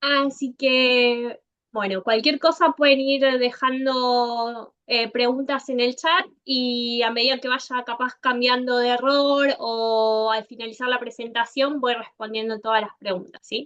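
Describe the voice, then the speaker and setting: A woman with an Argentine accent, high in pitch, very slow in pace, with hardly any pauses. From Argentina. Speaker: software consultant. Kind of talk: conference talk.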